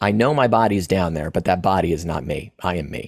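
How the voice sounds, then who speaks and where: Very deep and low in pitch, a man speaks with lively intonation in a dry, close sound with no echo, on a very clean recording with a silent background. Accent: American. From Florida and East Tennessee, US South. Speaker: acupuncture and Chinese medicine practitioner. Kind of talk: interview telling a personal story. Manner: halting.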